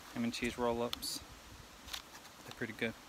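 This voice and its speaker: Noticeable background noise behind a man's dry voice with no echo. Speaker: family vlogger. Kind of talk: casual vlog chat. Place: forest. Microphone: phone near.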